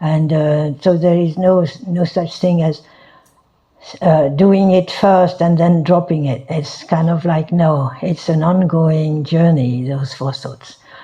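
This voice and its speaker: In a French accent, a woman with a fairly low-pitched voice speaks at a very slow pace with fairly even intonation. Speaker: Buddhist teacher. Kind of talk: dharma talk. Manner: halting, many fillers.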